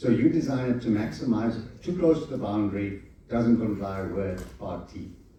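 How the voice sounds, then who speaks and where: Amid noticeable background noise and audible room echo, a man talks at medium pitch with ordinary pitch variation and big swings in loudness. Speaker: conference speaker on architecture. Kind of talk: conference presentation. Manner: fast.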